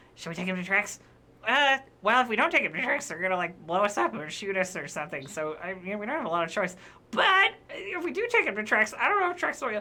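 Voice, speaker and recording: A quiet, female-sounding put-on character voice at a medium pitch, mumbling at a very fast pace. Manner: fast, quiet, mumbling.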